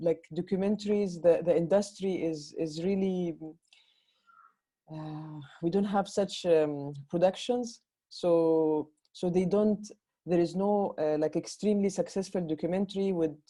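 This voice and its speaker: A woman's fairly low voice with a dark, mellow tone, at a fairly slow pace with fairly even intonation. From Egypt. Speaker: film director. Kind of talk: interview Q&A. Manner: halting, many repetitions.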